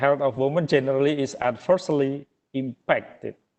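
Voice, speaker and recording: A man speaks with an Indonesian accent. His pitch is medium and his pace moderate. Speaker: webinar speaker. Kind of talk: presentation. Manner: halting.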